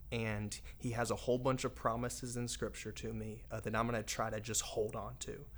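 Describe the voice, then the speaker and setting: A man talks at a fairly quick pace with hardly any pauses, and audible room echo surrounds his voice. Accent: American. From US South, Raleigh, North Carolina. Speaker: evangelist and addiction-recovery preacher. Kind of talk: casual interview, personal testimony. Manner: animated.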